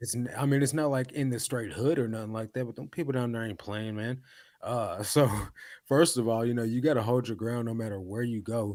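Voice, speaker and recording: A plain, everyday voice from a man at medium pitch, with ordinary pitch variation, a fairly quick pace and a very clean recording with a silent background. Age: 30s. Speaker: podcast co-host, reseller. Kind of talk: casual chat.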